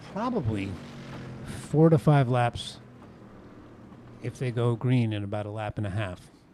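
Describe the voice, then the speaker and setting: The man's voice sits at a medium pitch. It rises and falls in an ordinary way. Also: long, frequent pauses, big swings in loudness. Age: 60s. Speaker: sim racing commentator. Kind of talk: live commentary. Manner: animated.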